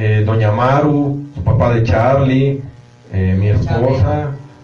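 A man's voice, with ordinary pitch variation, comes through audible room echo and noticeable background noise. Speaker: dance organization member. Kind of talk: casual chat.

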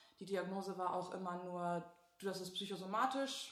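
A woman at a medium pitch and moderate pace, with audible room echo and noticeable background noise. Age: 20s. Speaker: patient. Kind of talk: testimony in casual interview.

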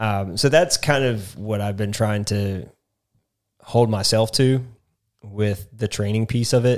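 The recording is very clean, with a silent background. A man talks at a fairly slow pace with long, frequent pauses, his fairly low pitch showing ordinary variation. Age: 30s. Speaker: podcast host, amateur runner. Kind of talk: casual chat.

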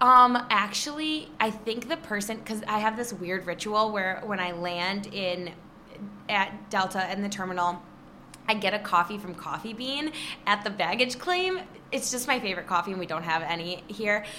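With an American accent, a woman speaks at a medium pitch and a moderate pace. Her pitch varies in an ordinary way, over noticeable background noise. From Michigan, Detroit area (Trenton). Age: 20s. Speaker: social media influencer and magazine contributing editor. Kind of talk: casual interview chat. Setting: recording live in an apartment building. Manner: animated.

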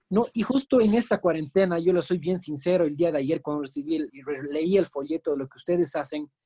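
Dry and close with no echo, a man's high voice has a dark, mellow tone and ordinary pitch variation. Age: 30s. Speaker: real estate agent. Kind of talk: interview.

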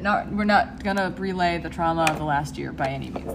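Room echo is audible as a woman talks. There is also noticeable background noise. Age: 20s. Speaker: podcast co-host. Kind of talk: casual chat.

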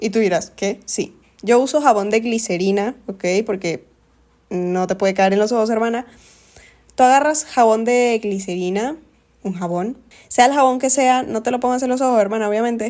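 A woman talks at a moderate pace with ordinary pitch variation. Her tone is animated. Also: fairly high pitch for a woman. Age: 20s. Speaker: podcast host. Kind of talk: casual monologue.

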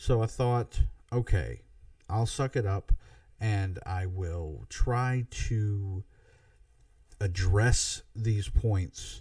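The voice has an American accent and a dark, mellow tone, somewhat breathy. The background is quiet. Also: man. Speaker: podcast host. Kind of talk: solo podcast commentary. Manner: informal, halting.

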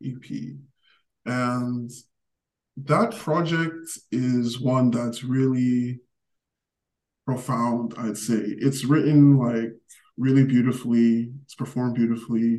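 A man with an American accent talks at a very slow pace. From US. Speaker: podcast host. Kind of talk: interview.

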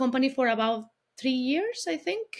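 A woman speaks with a Colombian accent. Her voice sits high in pitch. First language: Spanish. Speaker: business founder. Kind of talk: interview, casual chat.

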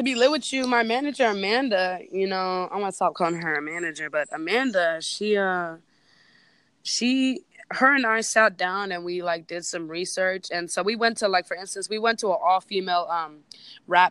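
A woman with a Bay Area accent, lively intonation and a moderate pace. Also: medium pitch for a woman. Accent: Bay Area Californian. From East Bay, California. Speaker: DJ and producer. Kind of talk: casual interview. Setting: phone call. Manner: casual.

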